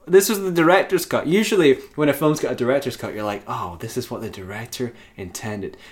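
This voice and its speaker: A man talks at a very fast pace with hardly any pauses, his fairly high pitch carrying vocal fry. His pitch swings very widely and his loudness varies a great deal. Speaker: podcast host. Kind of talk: casual banter, film discussion. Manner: joking, laughs a lot, profane.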